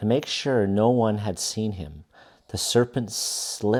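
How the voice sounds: It is a natural reading voice with fairly even intonation.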